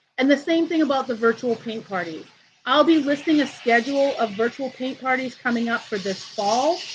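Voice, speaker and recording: Loud and with ordinary pitch variation, a woman speaks over noticeable background noise. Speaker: art teacher. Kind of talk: live tutorial wrap-up. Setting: outdoors on vacation, livestream.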